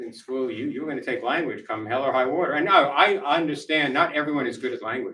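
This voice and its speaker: Speaking at a very fast pace, a man with an American accent uses a fairly high pitch and ordinary pitch variation. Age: 70s. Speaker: author and former intelligence official. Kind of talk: book talk Q&A. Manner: conversational, blunt.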